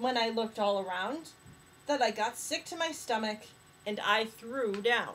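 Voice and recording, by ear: Someone reads a text aloud in a natural voice.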